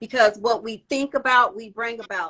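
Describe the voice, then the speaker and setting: A woman's fairly high, bright, sharp voice in an American accent at a moderate pace. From California. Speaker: tax business coach, podcast host. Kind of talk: casual interview. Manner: animated.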